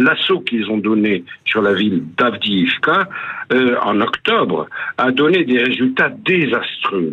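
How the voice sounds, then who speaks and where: A man speaking at a very slow pace, medium in pitch, with very wide swings in pitch. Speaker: radio columnist on world affairs. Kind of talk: scripted news commentary. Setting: phone line, stuck in a lift. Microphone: telephone-quality voice.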